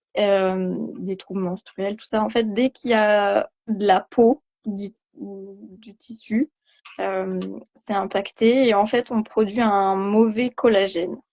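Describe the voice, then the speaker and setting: Speaking at a very slow pace, a woman with a medium pitch keeps fairly even intonation while her loudness swings widely. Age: 20s. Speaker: patient giving testimonial. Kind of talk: testimony. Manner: hesitant, many fillers.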